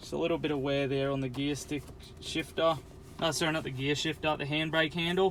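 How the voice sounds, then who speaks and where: In an Australian accent, a man talks at a fairly quick pace. His fairly high voice stays monotone and flat. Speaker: car salesman. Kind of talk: personalized sales video walkthrough. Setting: in and around a car at a dealership. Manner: casual, chatty.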